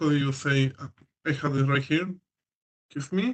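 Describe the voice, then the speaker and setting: Here a man is speaking. He has a Spanish accent. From Chile. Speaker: prospective international student. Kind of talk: question in online Q&A. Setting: video call. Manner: halting.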